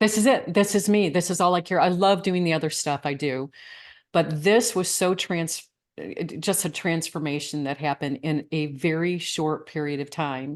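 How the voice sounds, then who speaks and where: A woman uses a normal speaking voice with an American accent and a fairly low pitch. She keeps a moderate pace with ordinary pitch variation over a quiet background. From Michigan. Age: 60s. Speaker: coach. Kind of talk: interview.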